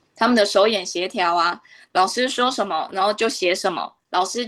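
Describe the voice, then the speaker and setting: An ordinary speaking voice from a woman at medium pitch, moving at a moderate pace with ordinary pitch variation over a quiet background. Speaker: Chinese language teacher. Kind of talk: radio interview.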